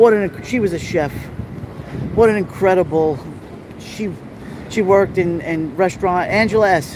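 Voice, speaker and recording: A man's high, animated voice in a Brooklyn accent at a moderate pace, with long, frequent pauses and noticeable background noise. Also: ordinary pitch variation. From New York City, Little Italy. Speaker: live-streaming vlogger. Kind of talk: live stream walking tour. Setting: outdoors at street festival.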